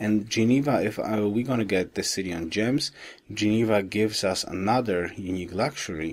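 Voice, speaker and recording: A man speaks quietly at a moderate pace with ordinary pitch variation. The recording is very clean, with a silent background. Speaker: gaming commentator. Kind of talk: gameplay commentary. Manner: quiet, low voice.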